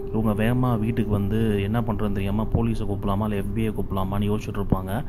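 Over noticeable background noise comes a man's fairly low voice. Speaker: movie story narrator / voice-over reviewer. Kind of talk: movie story recap narration.

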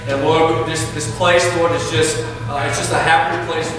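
A man's fairly quick, high-pitched voice with ordinary pitch variation, strong room echo and noticeable background noise. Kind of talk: spoken prayer. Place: church. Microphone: camera far.

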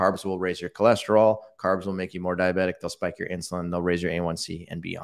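A man's very deep, low voice, monotone and flat, at a fairly quick pace with hardly any pauses, over a quiet background. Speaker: diabetes researcher and educator. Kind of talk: casual interview, live Q&A. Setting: online livestream. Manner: explanatory, conversational. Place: home room. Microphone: studio mic.

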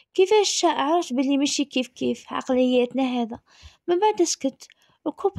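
A woman speaks at a moderate pace with a high pitch and ordinary pitch variation, the sound dry and close with no echo. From Algeria, Tizi Ouzou. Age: 30s. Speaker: storyteller. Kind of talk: personal storytelling.

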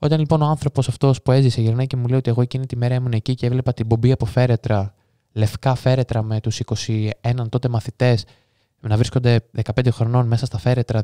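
A man with a medium-pitched, dark and mellow tone speaks at a fairly quick pace in a flat monotone. The sound is dry and close, with no echo. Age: 20s. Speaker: true crime podcaster. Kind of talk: casual interview chat.

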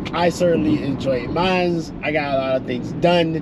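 Noticeable background noise sits behind a man talking at a moderate pace, the sound dry with no echo and his pitch varying in an ordinary way. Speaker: vlog host. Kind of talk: casual vlog chat. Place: car. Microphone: phone near.

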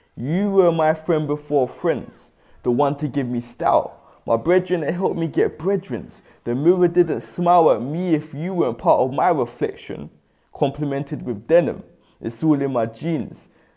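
On a very clean recording with a silent background, a man with a London accent speaks at a moderate pace in a fairly high pitch, with ordinary pitch variation and a dark, mellow tone. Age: young. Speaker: spoken word poet. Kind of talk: spoken word performance.

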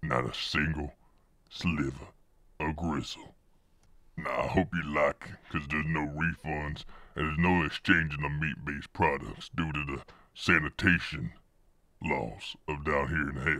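At a moderate pace, a man with a very deep, low voice speaks with long, frequent pauses. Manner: brisk, casual, no-nonsense.

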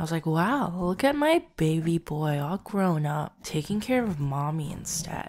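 The delivery is very slow, with lively intonation. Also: woman. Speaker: ASMR roleplay voice actor. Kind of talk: roleplay monologue to listener. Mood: affectionate, teasing. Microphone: studio mic.

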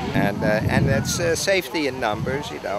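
Loud background noise surrounds a man's voice. The sound is dry with no echo. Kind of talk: interview answer. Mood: relaxed, friendly. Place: street.

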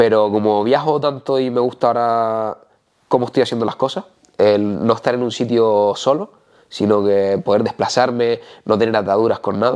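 A man with a plain, everyday voice talks at a moderate pace and medium pitch, with fairly even intonation against a quiet background. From Canary Islands. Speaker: natural bodybuilder; interviewee. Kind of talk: casual interview. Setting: host's home. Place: home room. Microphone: lapel.

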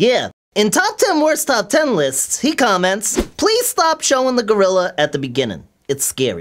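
A cartoonish character voice with a fairly high pitch. It moves at a moderate pace. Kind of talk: comedic puppet sketch banter. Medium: puppet.

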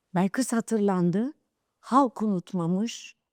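A woman speaks at a very slow pace with ordinary pitch variation, in a very clean recording with a silent background and a dry, close sound with no echo. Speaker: veteran film playback singer. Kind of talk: interview testimony. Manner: halting.

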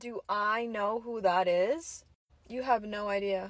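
The recording is dry and has no echo at all. The voice belongs to a woman. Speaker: skit creator. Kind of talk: comedy skit dialogue, acting two roles. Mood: sarcastic, playful. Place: car. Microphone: phone near.

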